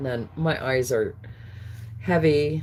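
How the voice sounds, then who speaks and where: Noticeable background noise behind a woman's very deep, low voice at a fairly slow pace. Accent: American. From California. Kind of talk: live auction stream. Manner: slurring words.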